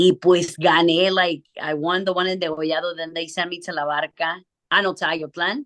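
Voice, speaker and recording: A woman in an unremarkable speaking voice talks at a moderate pace with a fairly low pitch and fairly even intonation, recorded dry and close with no echo. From US Midwest (Chicago) and Jalisco, Mexico. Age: 30s. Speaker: singer. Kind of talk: casual interview chat. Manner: code-switching English and Spanish.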